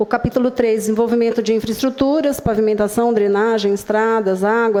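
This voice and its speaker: A woman speaks at a fairly quick pace with fairly even intonation, and there is noticeable background noise. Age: old. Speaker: urban planning consultant. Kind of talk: public hearing presentation. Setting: public hearing with live audience. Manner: halting.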